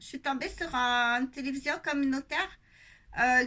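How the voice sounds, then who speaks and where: A woman with a Quebec accent speaks in a raised, projected voice at a fairly slow pace, her high pitch carrying a bright, sharp tone. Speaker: nurse and video blogger. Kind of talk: casual monologue vlog. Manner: halting, many fillers.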